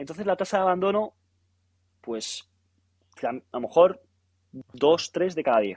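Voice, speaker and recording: A man with a high pitch talks at a fairly slow pace, leaving long, frequent pauses. His intonation is lively, and the sound is dry and close with no echo. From Spain. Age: 20s. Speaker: physiotherapist. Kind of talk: casual interview.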